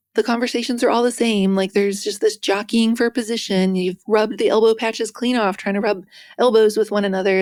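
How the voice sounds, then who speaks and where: A soft-spoken woman with an American accent, fairly high pitch, monotone and flat intonation and a very fast pace, on a very clean recording with a silent background. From West Virginia. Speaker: author and speaker. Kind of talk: interview.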